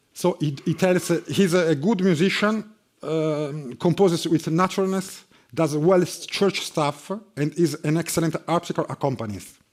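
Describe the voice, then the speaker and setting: A man with an Italian accent and a high voice talks at a moderate pace with ordinary pitch variation. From Italy, Bologna. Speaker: harpsichordist and music professor. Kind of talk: lecture. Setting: conference hall with audience. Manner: halting, many fillers.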